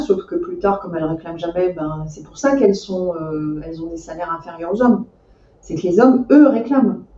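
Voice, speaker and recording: A woman talks at a moderate pace with ordinary pitch variation. Her pitch sits in the medium range. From France, Seine-et-Marne (Meaux). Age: 50s. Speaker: IT director. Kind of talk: interview. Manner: hesitant, many fillers.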